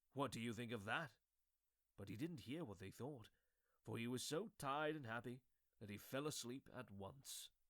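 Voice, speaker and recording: Long, frequent pauses break up a man's speech at a moderate pace. His medium pitch shows ordinary variation. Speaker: voice actor. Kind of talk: read story with character voices.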